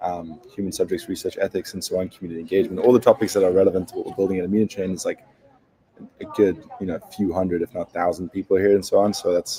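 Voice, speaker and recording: Someone talks very fast with a South African accent. The sound is dry and close, with no echo. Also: man. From South Africa, Cape Town. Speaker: startup founder. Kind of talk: interview.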